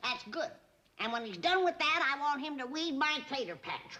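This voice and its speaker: A woman uses a put-on character voice. It sits at a high pitch with lively intonation. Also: moderate pace. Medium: short film. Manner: sharp, bossy.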